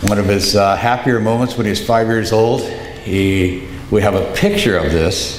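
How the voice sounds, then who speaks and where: Over noticeable background noise and audible room echo, a man speaks at a fairly low pitch and moderate pace. His intonation is fairly even, his loudness very even, and he hardly pauses. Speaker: eulogist, son of the deceased. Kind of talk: eulogy.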